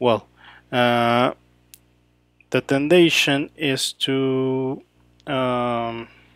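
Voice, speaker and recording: Spoken at a very slow pace with a Mexican accent, the voice leaves long, frequent pauses in a very clean, dry, close recording with a silent background and no echo. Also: man, medium pitch for a man, fairly even intonation. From Mexico City. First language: Spanish. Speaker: photographer. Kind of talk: live editing session commentary. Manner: halting, many fillers.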